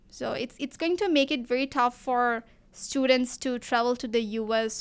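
Spoken with a Bengali accent at a fairly slow pace, the voice keeps a fairly even intonation over a very clean recording with a silent background. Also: woman. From Bangladesh. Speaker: physics student researcher. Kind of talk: interview.

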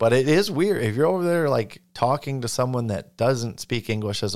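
A man speaks in an unremarkable speaking voice at a medium pitch, fairly quick and with lively intonation. The recording is very clean with a silent background. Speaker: podcast co-host. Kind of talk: casual chat.

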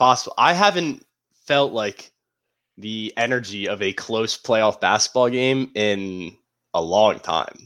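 An unremarkable speaking voice moves at a fairly slow pace with ordinary pitch variation. Its loudness swings widely. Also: man, medium pitch for a man. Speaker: podcast co-host. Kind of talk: casual chat.

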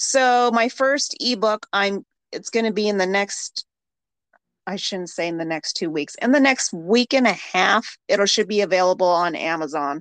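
A woman with a plain, everyday voice talks at a medium pitch and moderate pace, her intonation lively. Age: 40s. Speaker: podcast host. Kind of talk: casual chat.

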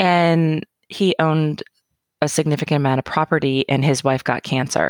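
A woman with an American accent speaks at a moderate pace in a very deep, low pitch, her intonation fairly even and her loudness very even, recorded dry and close with no echo on a very clean track with a silent background. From rural Oregon (Roseburg). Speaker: cancer caregiver. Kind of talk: casual chat.

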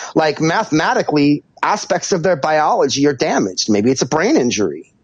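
With an American accent, a man speaks at a fairly quick pace. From California, Santa Barbara. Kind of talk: casual chat.

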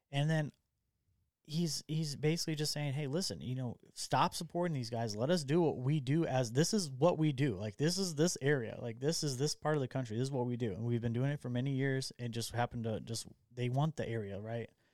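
With ordinary pitch variation, an unremarkable speaking voice proceeds at a fairly quick pace. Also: man, medium pitch for a man. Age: 30s. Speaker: podcast host. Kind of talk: casual chat. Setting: studio.

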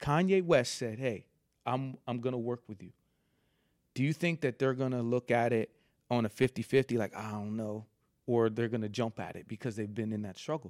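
This man has a normal speaking voice at a medium pitch with ordinary pitch variation. The recording is dry and close, with no echo. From Philadelphia area (Villanova), moved from New York at eleven. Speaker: fashion entrepreneur. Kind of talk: casual chat.

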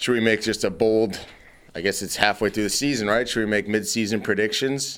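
This is a plain, everyday voice at a fairly quick pace. Its intonation stays fairly even. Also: man, fairly low pitch for a man. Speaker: podcast host. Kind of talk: casual banter podcast chat. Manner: joking, irreverent.

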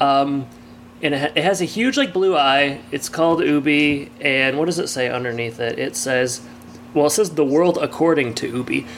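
Noticeable background noise sits behind a speaker with an American accent. The pace is moderate, with ordinary pitch variation. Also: man, fairly high pitch for a man. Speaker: podcast co-host. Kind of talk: casual chat, podcast banter and episode recap. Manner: joking, laughs often, chatty.

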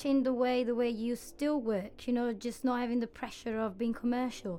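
A woman's high-pitched voice with a dark, mellow tone and an Italian accent. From Italy. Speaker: graphic designer and co-host. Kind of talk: casual interview. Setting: studio.

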